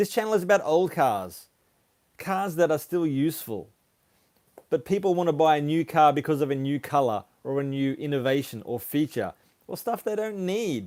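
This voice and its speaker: With an Australian accent, a man talks at a moderate pace in a fairly high voice with lively intonation, on a very clean recording with a silent background. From Australia (Sydney, Brisbane; some years in Papua New Guinea). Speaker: car YouTuber. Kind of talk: live stream Q&A, reading viewer comments. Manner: casual, hesitant with fillers.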